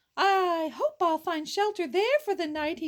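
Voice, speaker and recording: A woman's put-on character voice, squeaky and extremely high-pitched, with very wide pitch swings at a moderate pace. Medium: read story. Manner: fearful, pleading.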